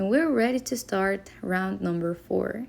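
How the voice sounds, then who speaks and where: Fairly slow speech from a woman in a non-native accent. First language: not English. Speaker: crochet tutorial maker. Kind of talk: tutorial. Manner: hesitant, with fillers.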